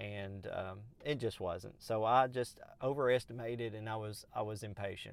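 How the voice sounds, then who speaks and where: In a very clean recording with a silent background, a man with a Southern US accent talks fairly slowly with ordinary pitch variation. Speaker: podcast host. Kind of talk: solo podcast monologue. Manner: casual, conversational with fillers.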